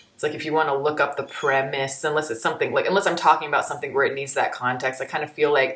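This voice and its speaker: Speaking very fast with an animated tone and an American accent, a woman with a very deep, low voice is heard over noticeable background noise. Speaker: YouTube film reviewer. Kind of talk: reaction commentary.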